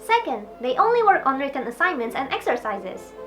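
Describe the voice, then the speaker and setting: Against noticeable background noise, a woman with an Indonesian accent speaks very fast at a high pitch. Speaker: YouTuber and English teacher. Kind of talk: tutorial.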